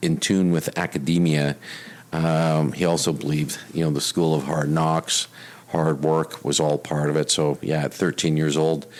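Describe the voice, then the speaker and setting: In a Canadian Prairies accent, a man talks at a moderate pace with a very deep, low pitch and very even loudness. His intonation is flat and monotone, and background noise is noticeable. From Canada, Winnipeg. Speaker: retired police officer and risk consultant. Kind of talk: interview. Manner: many fillers and repetitions.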